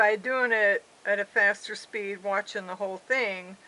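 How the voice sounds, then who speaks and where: Over a quiet background, a woman's bright, sharp tone sits at medium pitch, her intonation monotone and flat. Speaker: craft video maker. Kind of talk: crafting tutorial. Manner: slow; hesitant, with fillers.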